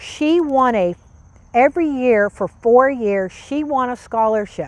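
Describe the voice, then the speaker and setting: The speaker sounds animated while keeping to a fairly slow pace. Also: woman, quiet background. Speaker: garden club leader. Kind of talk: casual interview. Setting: outdoors.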